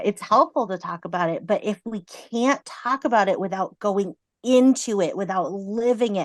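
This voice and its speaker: A woman's ordinary speaking voice, dry and close with no echo, with ordinary pitch variation over a quiet background. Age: 30s. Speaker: counselor. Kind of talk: casual chat.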